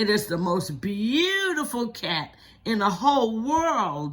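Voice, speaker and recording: In a put-on character voice, a female-sounding speaker with a fairly high pitch swings very widely in pitch at a fairly slow pace. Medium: read story.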